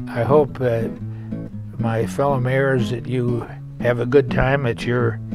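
A man's voice, dry with no echo, over clear music in the background. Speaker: former mayor. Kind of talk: casual talk to camera. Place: home room.

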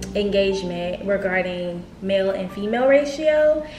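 Light background noise and audible room echo accompany a woman talking at a fairly slow pace. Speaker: beauty vlogger. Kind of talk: casual vlog chat. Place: home room.

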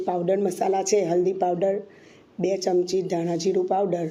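A woman's voice sits at a medium pitch, dark and mellow in tone. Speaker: cooking channel host. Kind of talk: cooking tutorial.

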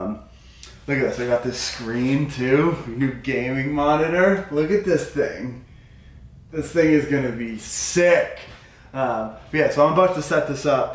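Audible room echo around a man at a fairly high pitch, fairly slow pace and ordinary pitch variation. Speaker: vlogger and weightlifter. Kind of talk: casual vlog, then earnest motivational rant about mindset. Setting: outdoors on bikes, with wife. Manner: passionate, fervent, repeating himself; stumbling, halting, running words together. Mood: excited, upbeat. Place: home room. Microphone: camera far.

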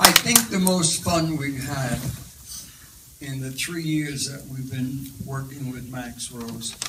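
A man speaks at a very slow pace. Loud background noise is heard behind him. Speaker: comedian and actor. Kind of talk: Q&A answer after film screening. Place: hall. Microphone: handheld.

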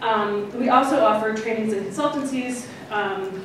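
Amid noticeable background noise and strong room echo, a woman speaks at a medium pitch. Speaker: archivist and former history professor. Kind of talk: conference talk. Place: hall.

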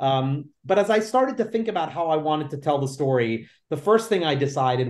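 Lively intonation marks this man's fairly quick speech. He has a New York accent. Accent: New York American. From New York City, Lower East Side; New York City. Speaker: author and theater producer; guest. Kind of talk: interview. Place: home room. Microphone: video call.

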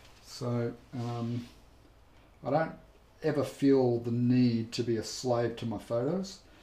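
There is audible room echo as a man speaks with an Australian accent at a very slow pace. His intonation is fairly even, with long, frequent pauses. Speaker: painting instructor. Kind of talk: live tutorial chat. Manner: friendly, casual. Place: studio.

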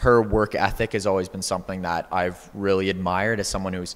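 This man has a fairly low pitch and fairly even intonation. He speaks at a moderate pace. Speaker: guest. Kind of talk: panel discussion answer. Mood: warm, appreciative. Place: church. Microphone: handheld.

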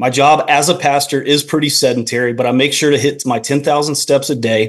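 Against a quiet background, a man with an American accent talks at a fairly quick pace with fairly even intonation. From North Carolina. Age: 30s. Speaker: pastor. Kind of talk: call-in question. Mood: friendly, calm. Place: home room. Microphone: video call.

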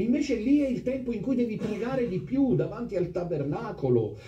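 Audible room echo and noticeable background noise surround a man speaking at a moderate speed. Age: 50s. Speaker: priest. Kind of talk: sermon. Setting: chapel with congregation. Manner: animated.

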